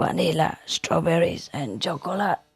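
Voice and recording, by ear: At middle pitch, a hoarse, raspy put-on character voice carries the speech. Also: moderate pace.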